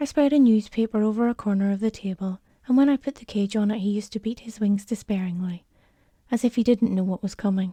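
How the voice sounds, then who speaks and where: A woman with a fairly high pitch talks at a fairly quick pace, her somewhat breathy voice gentle and calm in tone, dark and mellow, in a dry, close sound with no echo. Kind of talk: gentle spoken-story narration for calm listening. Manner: soft, gentle, calm.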